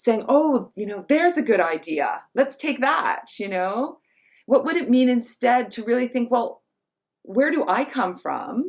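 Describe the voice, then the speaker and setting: With an American accent, a woman speaks at a moderate pace, her pitch swinging very widely. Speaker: feminist scholar and writer. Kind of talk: online talk conversation. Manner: halting, many fillers.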